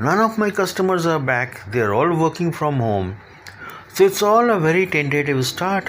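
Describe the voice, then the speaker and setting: A man's fairly high voice with very wide pitch swings, at a moderate pace, against noticeable background noise. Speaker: podcast host. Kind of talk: solo monologue on career advice.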